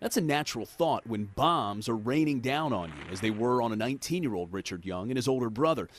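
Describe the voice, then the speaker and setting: A man has a plain, everyday voice at medium pitch, with lively intonation. He talks fairly quickly with hardly any pauses. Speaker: TV news reporter. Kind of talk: TV news report narration.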